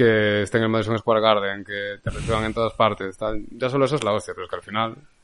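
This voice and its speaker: Talking at a very fast pace, a man keeps a monotone, flat intonation. His pitch is fairly low. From Galicia, Spain (Lugo). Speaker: film director. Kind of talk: casual chat.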